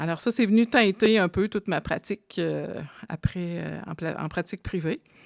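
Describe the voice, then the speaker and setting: On a very clean recording with a silent background and a dry, close sound with no echo, a woman with an unremarkable speaking voice talks at a moderate pace, fairly low in pitch with ordinary pitch variation. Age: 50s. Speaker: psychologist and podcast co-host. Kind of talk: casual chat.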